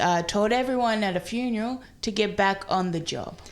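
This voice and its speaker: A woman speaks at a fairly slow pace with fairly even intonation. Audible room echo surrounds her voice. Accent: South Australian. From South Australia. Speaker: comedian. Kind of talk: casual chat.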